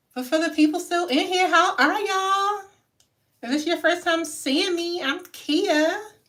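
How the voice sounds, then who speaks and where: With an American accent, a woman speaks at an extremely high pitch in a bright, sharp tone, fairly slowly and with fairly even intonation, amid audible room echo. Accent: own regional accent, strong. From Maryland. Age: 30s. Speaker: hair vlogger. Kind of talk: casual livestream chat.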